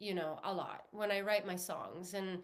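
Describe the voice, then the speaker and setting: With an Italian accent, a woman talks at a fairly slow pace in a fairly high pitch. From Italy. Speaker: singer-songwriter. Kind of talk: interview. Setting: podcast livestream.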